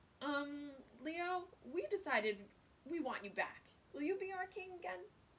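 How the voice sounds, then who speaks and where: A woman's put-on, gruff character voice, high in pitch with very wide pitch swings, at a moderate pace. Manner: hesitant, uncertain.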